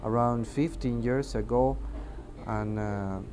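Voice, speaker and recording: A man at a very slow pace, medium in pitch, with a Mexican accent. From Mexico. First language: Spanish. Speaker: air traffic controller. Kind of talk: testimony interview. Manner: halting, many hesitations.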